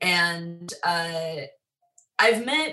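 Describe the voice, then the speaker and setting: Bright, sharp tone from a woman with a fairly low pitch and an American accent. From Long Island, New York. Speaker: musician and music teacher. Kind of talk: interview.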